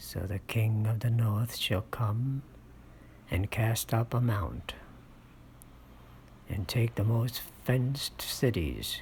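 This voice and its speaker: Soft-spoken speech moves at a very slow pace with long, frequent pauses. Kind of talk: ASMR scripture reading, soft-spoken Bible narration.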